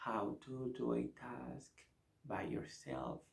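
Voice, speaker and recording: Soft-spoken and whispering, a man talks with a Spanish accent. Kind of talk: ASMR talk about teaching English. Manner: whispered, soft-spoken.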